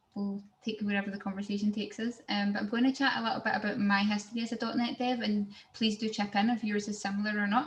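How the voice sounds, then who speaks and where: A woman's medium-pitched voice with a Glaswegian accent, very fast and flat in intonation, against noticeable background noise. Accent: Glaswegian Scottish. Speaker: software engineer, tech speaker. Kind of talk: technical presentation. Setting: video call.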